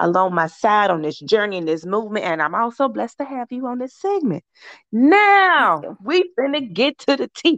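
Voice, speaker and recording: With an American accent, a woman talks at a moderate pace while her pitch swings very widely. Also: dry, close sound with no echo. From US South. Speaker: fitness trainer and podcast host. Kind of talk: casual chat. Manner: animated.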